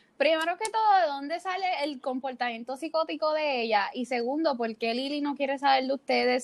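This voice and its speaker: At a moderate pace, a woman speaks with ordinary pitch variation. Her voice is high. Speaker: podcast host. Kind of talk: casual chat.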